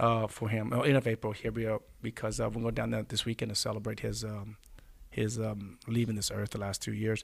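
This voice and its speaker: A man with an American accent speaks at a fairly quick pace, fairly low in pitch and somewhat breathy. His intonation is monotone and flat, and the recording is very clean with a silent background. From Texas Gulf Coast. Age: 40s. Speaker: former pro football player. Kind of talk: interview. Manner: halting.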